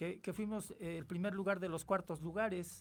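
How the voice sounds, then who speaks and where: Speaking at a moderate pace, a man uses a high voice and fairly even intonation. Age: 60s. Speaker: radio host. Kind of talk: radio interview. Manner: halting, many fillers.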